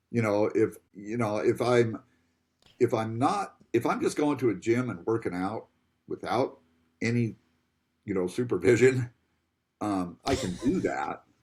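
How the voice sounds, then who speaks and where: Somewhat breathy, a man speaks at a fairly slow pace with long, frequent pauses, in a very clean recording with a silent background. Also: medium pitch for a man, ordinary pitch variation. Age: 60s. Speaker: gym member. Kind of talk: casual chat.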